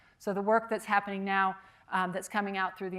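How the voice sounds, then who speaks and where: This woman talks at a very fast pace. Her intonation is monotone and flat. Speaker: architecture professor and structural engineer. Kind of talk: lecture. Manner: hesitant, many fillers.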